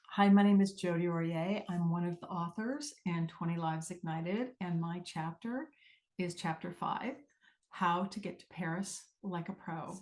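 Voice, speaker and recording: A woman with an ordinary speaking voice talks at a moderate pace in a fairly low pitch with ordinary pitch variation. Her loudness swings widely over a quiet background. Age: 60s. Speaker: author. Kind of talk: reading aloud.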